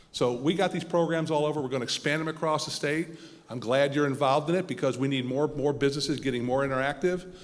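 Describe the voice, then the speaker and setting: A man's fairly high voice moves fairly quickly with ordinary pitch variation, while noticeable background noise carries on behind. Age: 50s. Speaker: political candidate. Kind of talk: candidates forum Q&A answer.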